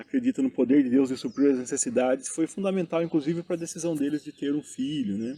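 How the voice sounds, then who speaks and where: Dry and close with no echo, a man's voice carries a dark, mellow tone and ordinary pitch variation. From interior of São Paulo state, Brazil. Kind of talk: interview. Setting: outdoors in a town square.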